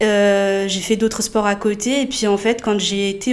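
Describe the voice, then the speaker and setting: Using a normal speaking voice, a woman talks at medium pitch and a moderate pace with fairly even intonation. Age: 20s. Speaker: rhythmic gymnastics coach and judge. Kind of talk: casual chat.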